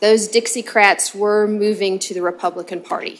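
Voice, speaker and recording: With a Southern US accent, a woman talks using fairly even intonation. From US South. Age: 50s. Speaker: state legislator. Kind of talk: committee hearing remarks. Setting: legislative committee hearing. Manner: hesitant, many filler ums.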